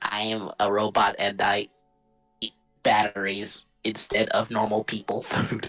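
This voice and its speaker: A raspy, put-on character voice from a man, fairly low in pitch and fairly slow in pace, with faint music in the background. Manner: deadpan.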